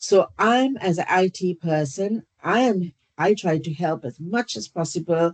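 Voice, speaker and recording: Dry, close sound with no echo, a woman with a fairly low pitch at a fairly slow pace with lively intonation. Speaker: staff governor, IT clinical systems support. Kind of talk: self-introduction presentation at meeting. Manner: halting, many fillers.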